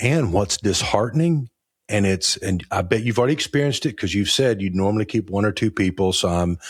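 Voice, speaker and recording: In a very clean recording with a silent background, a man with a fairly low, somewhat breathy voice speaks at a fairly quick pace, his intonation lively and his loudness very even. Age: 60s. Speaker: podcast host and insurance agency owner. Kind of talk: conversational interview.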